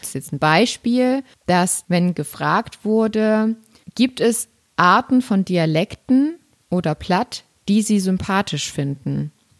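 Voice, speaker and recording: In a dry, close sound with no echo, a woman speaks very slowly at a medium pitch, with lively intonation and big swings in loudness. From Saxony, eastern Germany. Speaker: podcast host. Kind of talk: casual chat.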